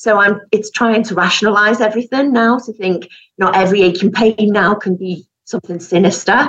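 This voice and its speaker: A woman talks with a Yorkshire accent at a fairly quick pace. Her intonation is fairly even. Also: medium pitch for a woman. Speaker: knitwear designer, breast cancer survivor. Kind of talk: testimony.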